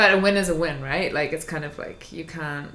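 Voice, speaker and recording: A woman with a New Zealand accent talks at a moderate pace, with audible room echo and noticeable background noise. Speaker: podcast co-host. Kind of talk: casual chat.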